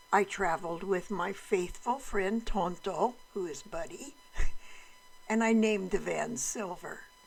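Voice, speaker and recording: With a medium pitch and ordinary pitch variation, a woman speaks at a fairly slow pace. Noticeable background noise is present. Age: 80s+. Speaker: retired traveler narrating a trip slideshow. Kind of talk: narrated travel slideshow.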